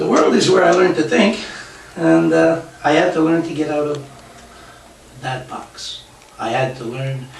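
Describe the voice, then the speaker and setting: A man's medium-pitched, fairly slow speech with very wide pitch swings, audible room echo and noticeable background noise. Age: 60s. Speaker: self-help author and workshop speaker. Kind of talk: live talk to an audience. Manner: halting, many fillers.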